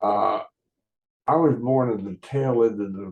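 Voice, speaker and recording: A man with an American accent, very slow and fairly even in intonation, his tone dark and mellow. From West Virginia, Huntington. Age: 80s+. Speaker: podcaster. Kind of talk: casual monologue. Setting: video call recording. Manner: halting, frequent uh fillers.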